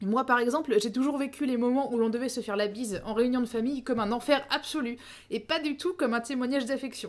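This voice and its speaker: Fairly even intonation carries the very fast speech on a very clean recording with a silent background. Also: woman, high pitch for a woman. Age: 30s. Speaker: podcast host. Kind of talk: solo educational podcast.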